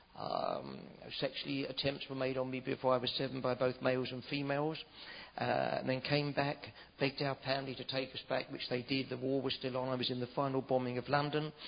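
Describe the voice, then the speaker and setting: This man speaks at a fairly quick pace with a medium pitch and a monotone, flat intonation. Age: 60s. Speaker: preacher. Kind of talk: testimony; sermon. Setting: church.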